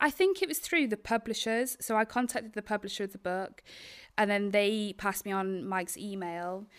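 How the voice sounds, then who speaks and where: A woman at medium pitch talks at a fairly quick pace in a very clean recording with a silent background. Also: ordinary pitch variation. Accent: north Welsh. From Wales, Isle of Anglesey (north Wales). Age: 20s. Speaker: documentary filmmaker. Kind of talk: interview. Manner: halting, many fillers.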